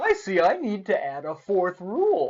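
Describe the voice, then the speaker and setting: A man uses a put-on character voice pitched high. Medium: read story. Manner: calm, instructive.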